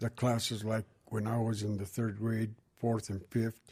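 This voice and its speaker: A man's somewhat breathy voice, dark and mellow in tone, medium in pitch, monotone and flat, at a fairly slow pace. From New Mexico, Gallup area. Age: 80s+. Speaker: oral history interviewee. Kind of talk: oral history interview. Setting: library.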